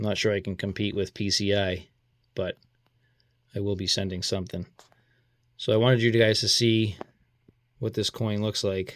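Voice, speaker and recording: A man with a Boston accent speaks at a fairly low pitch in a flat monotone. He takes long, frequent pauses on a very clean recording with a silent background. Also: moderate pace. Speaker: coin collector YouTuber. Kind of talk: casual video commentary, mail call. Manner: scattered, informal.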